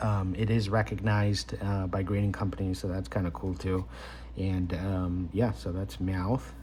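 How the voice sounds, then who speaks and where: Here a man speaks with a very deep, low pitch and lively intonation. Audible room echo and noticeable background noise surround him. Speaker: card collector YouTuber. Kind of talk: casual unboxing commentary. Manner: hesitant, many fillers; slow, deliberate.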